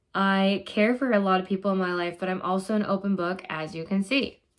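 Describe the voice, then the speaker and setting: An ordinary speaking voice with an American accent moves at a fairly quick pace with fairly even intonation in a very clean recording with a silent background. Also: woman. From Minnesota. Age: 20s. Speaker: graduate student vlogger. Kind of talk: personal vlog monologue.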